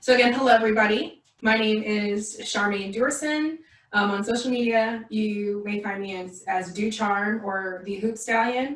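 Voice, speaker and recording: There is audible room echo and noticeable background noise around a woman's voice. She speaks at a moderate pace, fairly high in pitch with fairly even intonation. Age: 20s. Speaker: community organizer and mental health professional. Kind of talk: self-introduction at a community forum. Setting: livestream video call.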